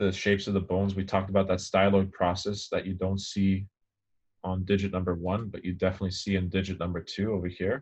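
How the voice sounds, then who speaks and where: A man speaks at a very fast pace in a very deep, low pitch, somewhat breathy and flat in monotone intonation, against a quiet background. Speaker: anatomy lecturer. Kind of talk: lecture.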